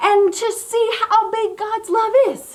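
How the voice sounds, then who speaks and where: There is audible room echo and noticeable background noise as a woman speaks in an animated tone. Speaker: children's ministry leader. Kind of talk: children's church segment.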